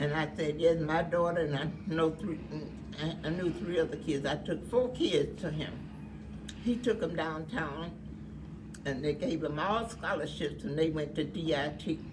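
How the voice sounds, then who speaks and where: Audible room echo surrounds a woman speaking at a moderate pace in a very deep, low pitch. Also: ordinary pitch variation. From US South. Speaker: elderly woman recalling life. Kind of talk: oral history interview.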